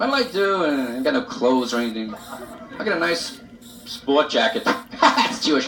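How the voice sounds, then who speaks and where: The voice is raised and projected. Noticeable background noise sits behind it. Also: man. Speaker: stand-up comedian. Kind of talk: live stand-up comedy monologue. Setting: live club audience, vintage reel-to-reel recording.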